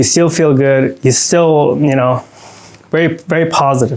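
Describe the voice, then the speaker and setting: This male voice has a fairly high pitch. The pitch moves with ordinary variation. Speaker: supplement reviewer. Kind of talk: product review. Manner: fast; animated.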